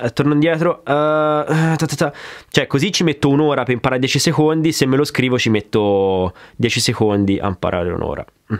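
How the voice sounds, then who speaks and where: Here a man talks at a fairly quick pace with a fairly high pitch. His intonation is lively, and the background is quiet. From Grosseto, Tuscany. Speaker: drummer and drum YouTuber. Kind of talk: casual Q&A chat. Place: studio.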